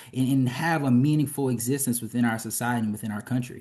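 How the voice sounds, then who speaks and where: With a Louisiana accent, a man of medium pitch speaks at a very fast pace in a dark, mellow tone, with fairly even intonation and a quiet background. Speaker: physician and health policy advocate. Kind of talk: interview conversation. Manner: hesitant with fillers.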